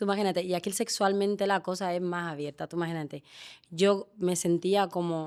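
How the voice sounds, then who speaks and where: A woman speaks at a fairly quick pace with fairly even intonation. Her medium-pitched voice comes through a very clean recording with a silent background. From Guinea-Bissau, raised from childhood in Seville. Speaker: teacher and actress. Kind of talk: interview conversation. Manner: hesitant, many restarts.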